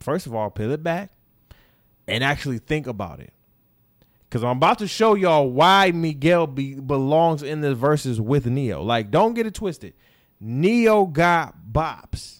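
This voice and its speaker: On a very clean recording with a silent background, a man speaks in an animated tone at a fairly slow pace with very wide pitch swings. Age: 20s. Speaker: podcast host. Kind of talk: casual chat.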